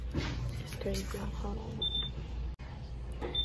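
A woman is heard speaking through loud background noise. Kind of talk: casual vlog chat. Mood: relaxed, later saddened. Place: office. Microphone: phone near.

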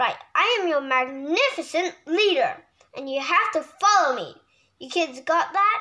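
Putting on a growling character voice, a woman speaks at an extremely high pitch with very wide pitch swings. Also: moderate pace. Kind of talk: read-aloud storytime. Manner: growly, bossy.

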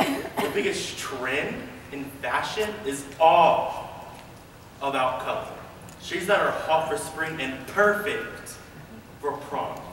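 Over light background noise and audible room echo, a man speaks at a very slow pace. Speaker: auditioning actor. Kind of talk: audition slate and performed monologues. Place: hall. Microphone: camera far.

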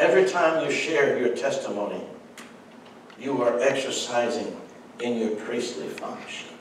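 A man talks at a moderate pace, leaving long, frequent pauses. The room echo is audible, and there is light background noise. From French-speaking background. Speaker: pastor. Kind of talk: sermon. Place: church.

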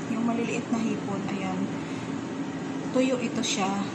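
Loud background noise runs through the clip. Over it, a woman talks. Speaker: home cook vlogger. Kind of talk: casual cooking tutorial. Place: kitchen. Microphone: phone near.

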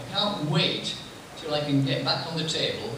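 Noticeable background noise and strong room echo surround a man's voice. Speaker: table tennis player. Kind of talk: talk to an audience before a screening. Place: hall.

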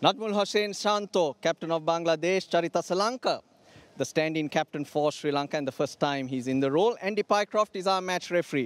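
A man talks in a high pitch at a fairly quick pace. The sound is dry, with no echo. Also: ordinary pitch variation. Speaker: cricket commentator. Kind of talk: live sports commentary. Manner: measured, analytical, explanatory. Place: stadium. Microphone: handheld.

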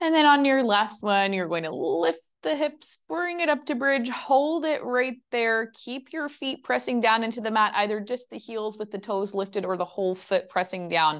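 A woman's fairly high voice in a calm, soothing tone, very wide pitch swings at a moderate pace against a quiet background. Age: 20s. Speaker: Pilates instructor. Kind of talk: live fitness class instruction, guided exercise cues. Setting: virtual studio class recording. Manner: calm, soothing, steady; rhythmic, clear, counting reps. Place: home room.

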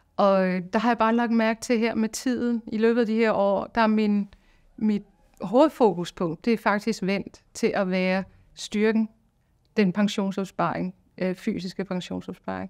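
Recorded very cleanly over a silent background, a woman with an unremarkable speaking voice talks at medium pitch and a fairly slow pace with fairly even intonation. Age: 50s. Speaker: singing teacher. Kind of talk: testimony.

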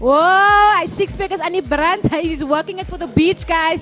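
A woman speaks at an extremely high pitch with an animated tone and ordinary pitch variation. Faint music plays in the background. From South Africa. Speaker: TV presenter. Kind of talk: TV presenting. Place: studio. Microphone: handheld.

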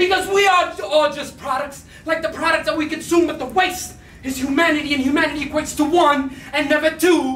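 With light background noise and audible room echo, a man talks at a fairly quick pace in an extremely high pitch with fairly even intonation. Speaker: slam poet. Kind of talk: spoken-word poetry performance. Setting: live venue, arts center. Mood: angry, grieving protest. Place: stage. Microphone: handheld.

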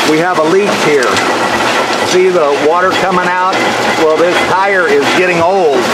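Loud background noise accompanies speech delivered at a moderate pace. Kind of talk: casual walkthrough explanation. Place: factory. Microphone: phone near.

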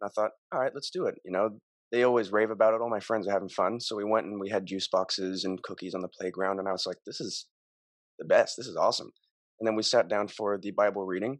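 In an American accent, a man with a fairly low voice and fairly even intonation talks at a very fast pace, the sound dry with no echo and the background quiet. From Montana, US. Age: young. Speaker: podcast guest. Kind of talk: casual interview chat. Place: home room. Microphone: studio mic.

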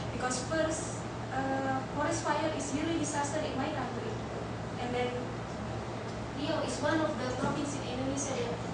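A woman speaks at a moderate pace with long, frequent pauses, over loud background noise and audible room echo. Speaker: university lecturer presenting research. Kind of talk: conference presentation. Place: hall.

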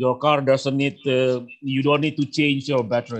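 The speaker is a man. Behind him the background stays quiet. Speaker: battery researcher and guest lecturer; guest lecturer. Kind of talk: online lecture. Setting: video call. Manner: halting. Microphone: video call.

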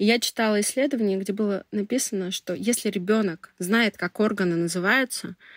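A woman with an ordinary speaking voice, medium pitch and ordinary pitch variation talks at a moderate pace with hardly any pauses, in a dry, close sound with no echo on a very clean recording with a silent background. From Russia, Tyumen. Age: 30s. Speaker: public relations specialist. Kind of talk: personal story interview.

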